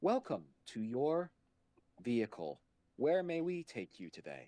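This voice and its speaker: Putting on a robotic character voice, a man speaks at a medium pitch and a moderate pace. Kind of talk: polite, formal. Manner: calm, soothing.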